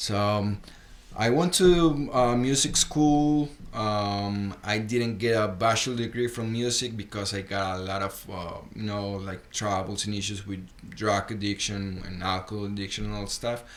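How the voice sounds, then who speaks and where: The speech comes in a Spanish accent. It moves at a moderate pace with ordinary pitch variation. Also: man, fairly low pitch for a man. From Colombia, Bogota. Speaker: rockabilly guitarist. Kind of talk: casual podcast interview. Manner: halting, many repetitions and fillers.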